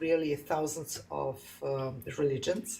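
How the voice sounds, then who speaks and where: A woman with a non-native accent, very slow pace and noticeable background noise. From Serbia. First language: Serbian. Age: 50s. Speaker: caller. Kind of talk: debate. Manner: halting.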